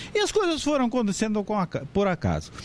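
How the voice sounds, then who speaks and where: Noticeable background noise sits under a man's voice. He moves at a moderate pace with very wide pitch swings. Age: 70s. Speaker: professor and author on legal writing. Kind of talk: lecture.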